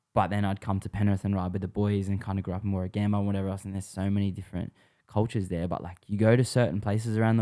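Very clean and set against a silent background, a man with an Australian accent speaks in a dark, mellow tone, a fairly low pitch and fairly even intonation. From Western Sydney, Australia. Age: 20s. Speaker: pro scooter rider. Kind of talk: casual chat.

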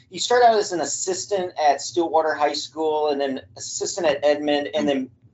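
Man with an American accent and an unremarkable speaking voice, fairly high in pitch, at a moderate pace with ordinary pitch variation. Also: hardly any pauses. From Missouri, US Midwest. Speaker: podcast host. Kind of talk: casual interview.

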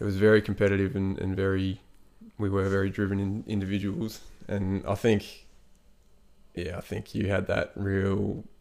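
In an Australian accent, a man speaks with monotone, flat intonation at a fairly low pitch. His speech has long, frequent pauses. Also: moderate pace. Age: 30s. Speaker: podcast host. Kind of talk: casual chat. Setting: at his brother's home.

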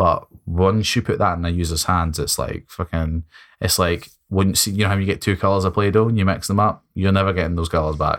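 In a Scottish accent, a man with a very deep, low voice talks at a fairly quick pace with fairly even intonation, in a very clean recording with a silent background. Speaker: tech podcast co-host. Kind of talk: casual chat.

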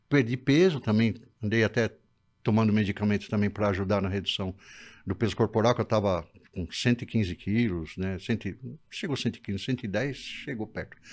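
In a quiet background, a man with an unremarkable speaking voice talks at a fairly low pitch. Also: ordinary pitch variation, moderate pace. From Brazil. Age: 60s. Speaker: patient with diabetes and kidney disease. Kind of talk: casual interview.

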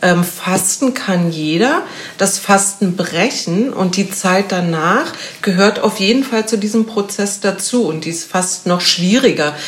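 Noticeable background noise sits behind a woman's medium-pitched voice. She speaks at a very slow pace. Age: 50s. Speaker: physiotherapist and fasting coach. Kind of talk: casual interview. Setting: in person in Berlin.

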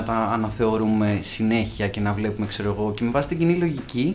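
Noticeable background noise under a fairly quick pace of talk. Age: 30s. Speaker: podcast host. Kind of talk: casual chat.

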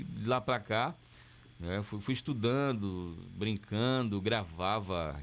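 A man with ordinary pitch variation. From southern Bahia, Brazil (rural Camacan area). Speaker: radio announcer and TV director. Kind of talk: interview.

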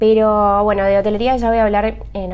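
A woman talks at a fairly quick pace, her pitch medium. She has an ordinary speaking voice. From Argentina, Buenos Aires. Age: 30s. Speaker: podcaster, hotel worker. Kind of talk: casual monologue.

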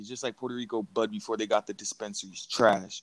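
A man's fairly quick speech with very wide pitch swings, in a dry, close sound with no echo. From Florida. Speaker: podcast co-host. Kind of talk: casual chat.

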